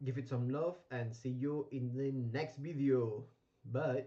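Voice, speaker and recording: Somewhat breathy and dark, mellow in tone, the man speaks at a medium pitch with ordinary pitch variation. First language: not English (English is third language). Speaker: gaming streamer. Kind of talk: gameplay commentary livestream. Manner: hesitant, many fillers.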